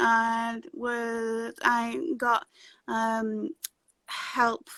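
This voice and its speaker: A woman's fairly high, bright, sharp voice with a northern English accent and fairly even intonation, in a dry, close sound with no echo. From northern England. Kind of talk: interview. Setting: video call. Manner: halting; stutter.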